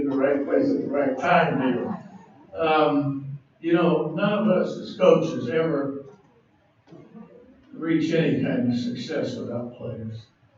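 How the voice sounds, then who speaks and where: At a fairly slow pace, a man with a fairly high pitch and ordinary pitch variation speaks with long, frequent pauses. Audible room echo and noticeable background noise fill the recording. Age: 80s+. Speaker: basketball coach. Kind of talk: acceptance speech. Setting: banquet hall with audience.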